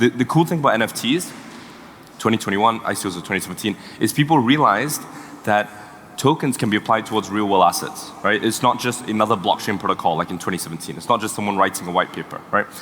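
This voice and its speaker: A man with a medium pitch and ordinary pitch variation talks very fast against noticeable background noise. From Singapore. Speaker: tech startup co-founder. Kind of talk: panel talk. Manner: halting.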